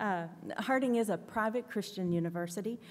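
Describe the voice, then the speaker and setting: Her pitch varies in an ordinary way. The woman talks at a moderate speed. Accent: Southern US. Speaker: director of admissions. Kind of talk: panel presentation. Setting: conference panel with audience.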